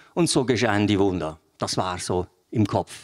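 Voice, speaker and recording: This man keeps a moderate pace on a very clean recording with a silent background. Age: 60s. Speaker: lay preacher. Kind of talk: sermon. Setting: church. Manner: animated.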